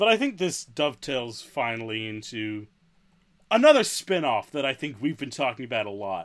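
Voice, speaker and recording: Recorded very cleanly with a silent background, a man with a medium pitch speaks in an ordinary speaking voice at a moderate pace with lively intonation. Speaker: podcast co-host. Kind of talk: casual banter, playful amen response.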